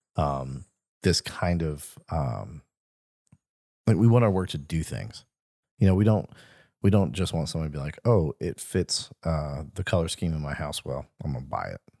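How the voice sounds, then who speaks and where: With a Mississippi accent, a man speaks at a moderate pace in a very deep, low voice, dark and mellow in tone, his intonation lively and the sound dry and close with no echo. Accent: Southern US (Mississippi). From Mississippi, US Gulf Coast. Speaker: art gallery co-host. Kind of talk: casual chat podcast conversation. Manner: casual, conversational, jokey.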